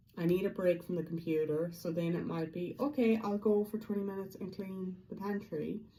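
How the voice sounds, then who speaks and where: A woman speaks at a medium pitch and a moderate pace with ordinary pitch variation. Audible room echo surrounds her voice. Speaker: feng shui vlogger. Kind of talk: casual vlog monologue.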